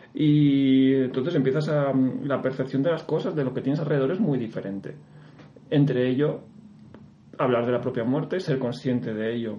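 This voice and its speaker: A man speaks at medium pitch and a moderate pace. Audible room echo is heard. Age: 30s. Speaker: ultra-distance runner. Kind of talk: interview. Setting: studio.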